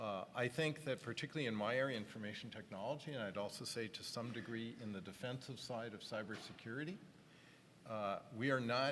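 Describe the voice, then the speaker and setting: A man with a Canadian accent has an ordinary speaking voice at medium pitch. He talks at a fairly quick pace with ordinary pitch variation. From Canada. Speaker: tech industry executive on a panel. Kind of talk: panel discussion.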